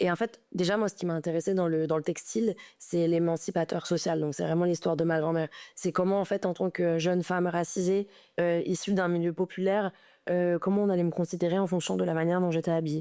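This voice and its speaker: A woman's dark, mellow voice at a fairly quick pace, monotone and flat, with very even loudness, on a very clean recording with a silent background. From Paris. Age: 20s. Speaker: fashion designer. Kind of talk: interview. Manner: halting.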